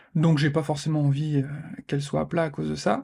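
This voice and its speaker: A man's fairly high voice with a dark, mellow tone. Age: 40s. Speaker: podcast host. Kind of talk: casual monologue podcast. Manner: hesitant, many fillers.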